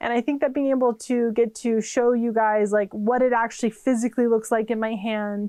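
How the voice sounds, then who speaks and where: A woman with a Californian accent, fairly high-pitched, in a dark, mellow tone with monotone, flat intonation, over a quiet background. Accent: Californian, noticeable. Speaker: witchcraft and tarot YouTuber. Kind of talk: casual channel introduction vlog. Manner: chatty, many fillers.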